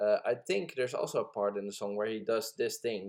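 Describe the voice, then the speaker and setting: A man with a non-native accent. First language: not English. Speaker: amateur music producer. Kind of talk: tutorial. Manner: casual, hesitant with many fillers.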